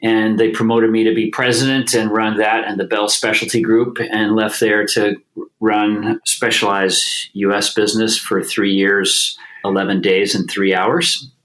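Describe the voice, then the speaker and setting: This man talks at a moderate pace in a fairly low pitch, his loudness very even and his intonation flat and monotone. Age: 60s. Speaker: bicycle company executive. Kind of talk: podcast interview.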